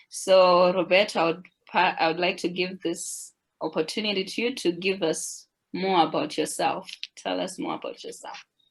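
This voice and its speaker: A woman talks with an African accent. Her intonation is fairly even. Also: medium pitch for a woman, moderate pace. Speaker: webinar moderator. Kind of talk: webinar introduction.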